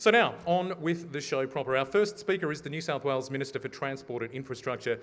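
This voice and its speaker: Lively intonation marks a man's very fast speech. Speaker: event MC. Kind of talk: conference MC welcome address.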